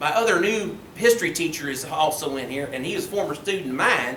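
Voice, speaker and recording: Amid audible room echo and noticeable background noise, a man with an Ozark accent talks at a fairly quick pace with lively intonation. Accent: southern US (Arkansas Ozarks). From Arkansas, Mountain Home. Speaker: high school history teacher. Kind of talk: public lecture. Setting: meeting room with audience. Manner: casual, conversational.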